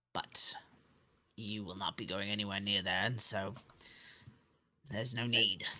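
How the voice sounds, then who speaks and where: Using a put-on character voice, a man speaks at a moderate pace, raspy and fairly low in pitch, in a flat monotone broken by long, frequent pauses. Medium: actual play. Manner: evasive.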